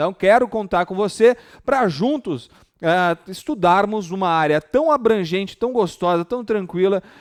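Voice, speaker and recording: Lively intonation and an animated tone mark this man's high-pitched voice. He speaks at a fairly slow pace, with a dry, close sound and no echo. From interior São Paulo state, Brazil (Ribeirão Preto). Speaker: law professor. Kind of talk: online exam-prep lecture. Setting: live stream. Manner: animated, informal.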